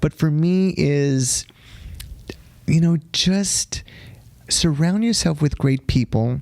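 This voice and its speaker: With an American accent, the speaker goes at a very slow pace with long, frequent pauses, very even loudness and ordinary pitch variation, in a dry, close sound with no echo. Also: man, fairly high pitch for a man. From Texas. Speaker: dance teacher and competition organizer. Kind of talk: interview.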